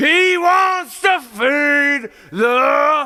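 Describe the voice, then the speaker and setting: A high-pitched, put-on character voice is shouting. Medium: read story. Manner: flat, formal, respectful.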